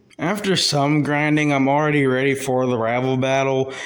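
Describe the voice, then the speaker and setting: Audible room echo surrounds a man at medium pitch. He talks at a fairly quick pace with ordinary pitch variation. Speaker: gaming YouTuber. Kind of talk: gameplay voiceover commentary. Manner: casual with many fillers; fast.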